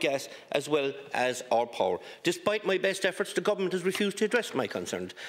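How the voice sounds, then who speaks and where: Words pour out of a man at a very fast clip. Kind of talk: parliamentary question speech. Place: hall. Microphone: podium.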